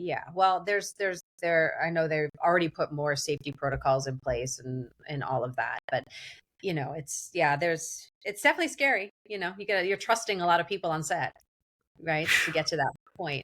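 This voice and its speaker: A woman's fairly low voice, fairly quick in pace, with lively intonation. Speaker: actress. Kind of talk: casual chat. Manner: animated.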